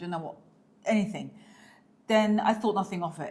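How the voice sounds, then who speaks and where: Against noticeable background noise, a woman with a British accent speaks at a medium pitch in an animated tone. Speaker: lifestyle vlogger. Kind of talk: casual chat.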